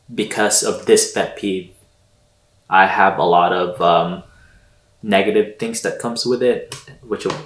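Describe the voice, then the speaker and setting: In a Filipino accent, a man speaks at a moderate pace. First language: Tagalog. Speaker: podcast co-host. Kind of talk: casual chat.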